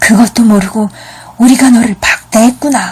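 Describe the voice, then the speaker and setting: A woman puts on a raspy character voice at a fairly high pitch. She keeps a moderate pace and fairly even intonation. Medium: read story.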